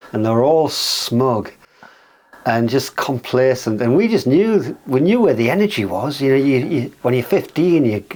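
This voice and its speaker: With a Geordie accent, a man speaks at a moderate pace and medium pitch. His intonation is lively, and there is noticeable background noise. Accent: Geordie, lilting. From northern England, North Shields near Newcastle. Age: 60s. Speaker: musician. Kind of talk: casual chat.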